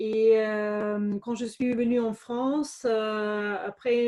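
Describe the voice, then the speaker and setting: A woman speaks with a dark, mellow tone. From Germany, Bavaria (Regensburg). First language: German (speaking French). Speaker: entrepreneur, former business lawyer. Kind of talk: interview. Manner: hesitant, many fillers.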